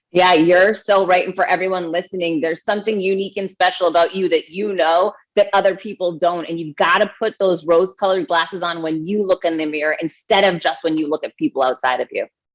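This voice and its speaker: Over a dry, close sound with no echo, a woman at medium pitch talks very fast with hardly any pauses. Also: fairly even intonation. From Massachusetts, Boston. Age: 40s. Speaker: author and keynote speaker. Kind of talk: interview conversation. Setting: podcast.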